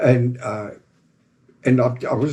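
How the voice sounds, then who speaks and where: Dark, mellow tone from a somewhat breathy man with a South African accent and medium pitch. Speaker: former game ranger, company founder. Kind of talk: casual interview.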